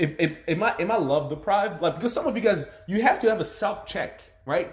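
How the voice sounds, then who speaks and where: This man has a high voice for a man, an animated tone, a slight African accent, and a moderate pace. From Democratic Republic of the Congo. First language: not English (multilingual). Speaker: motivational speaker. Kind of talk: live stream monologue. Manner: halting.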